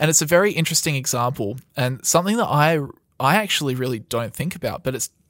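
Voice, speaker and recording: With an Australian accent, a man talks at a very fast pace in a fairly high pitch with lively intonation, on a very clean recording with a silent background. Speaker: podcast host. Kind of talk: casual chat. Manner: casual, conversational.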